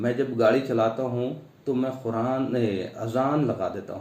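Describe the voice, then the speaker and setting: A man's medium-pitched voice has a dark, mellow tone. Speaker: Islamic preacher (dawah worker). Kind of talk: religious talk to camera.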